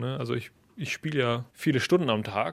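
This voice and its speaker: Vocal fry runs through a man's voice on a very clean recording with a silent background. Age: young. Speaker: percussionist. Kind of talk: interview.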